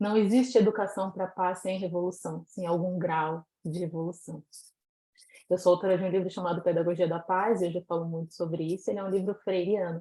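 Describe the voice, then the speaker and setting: Fairly quick and flat in intonation, a woman speaks in a monotone. Her voice is medium in pitch with a dark, mellow tone. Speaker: educator and author. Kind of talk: conference talk.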